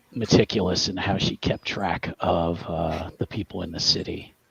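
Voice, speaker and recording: Against noticeable background noise, a man speaks at a moderate pace with monotone, flat intonation. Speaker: tabletop game master.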